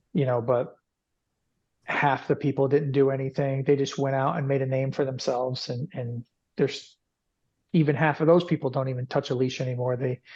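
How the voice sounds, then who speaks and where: A somewhat breathy man with an American accent, medium pitch and fairly even intonation, at a fairly quick pace broken by long, frequent pauses. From New York. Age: 40s. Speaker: dog trainer and business owner. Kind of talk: podcast interview. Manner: repetitive, halting with restarts.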